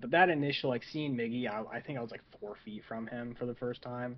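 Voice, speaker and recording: A man's normal speaking voice with an American accent, medium pitch, ordinary pitch variation and a fairly quick pace. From Michigan, Saginaw. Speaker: baseball team scoreboard assistant. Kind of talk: casual chat.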